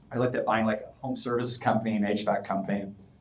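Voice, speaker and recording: Speaking at a very fast pace, the voice comes through noticeable background noise and audible room echo. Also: man. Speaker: fractional product manager, startup consultant. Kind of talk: interview.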